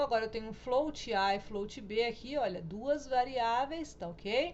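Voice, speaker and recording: The voice is a woman's, fairly high in pitch with ordinary pitch variation. Audible room echo surrounds it. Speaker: programming teacher. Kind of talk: recorded lecture tutorial.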